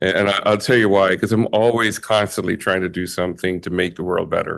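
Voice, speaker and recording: A man with an American accent and a fairly low voice speaks at a moderate pace with fairly even intonation. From Bahamas (Jamaican family). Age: 60s. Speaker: community leader, award recipient. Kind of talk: acceptance speech. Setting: ceremony with audience. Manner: halting, many fillers.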